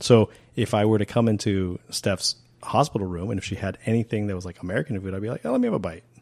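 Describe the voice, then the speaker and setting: Very fast speech with ordinary pitch variation, dry and close with no echo, on a very clean recording over a silent background. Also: man, fairly low pitch for a man. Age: 50s. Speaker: podcast co-host. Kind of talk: casual chat.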